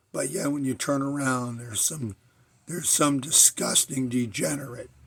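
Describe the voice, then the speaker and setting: A somewhat breathy male voice, fairly high in pitch, with ordinary pitch variation. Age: 60s. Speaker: video blogger. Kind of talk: personal monologue. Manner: halting.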